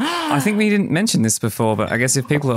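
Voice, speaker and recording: Music plays in the background. A man speaks with an Australian accent. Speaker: podcast host. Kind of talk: interview conversation.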